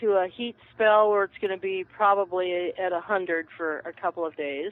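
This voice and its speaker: This is an unremarkable speaking voice with ordinary pitch variation. It keeps a moderate pace. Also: woman. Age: 60s. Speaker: herbalist. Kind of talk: casual chat. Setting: phone call.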